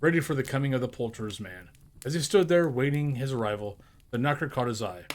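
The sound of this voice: An unforced reading voice. It is used to read aloud.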